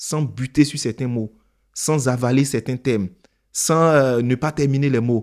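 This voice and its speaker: A very clean recording with a silent background, a moderate pace and ordinary pitch variation. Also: man. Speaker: public speaking coach. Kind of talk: tutorial. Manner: clear diction.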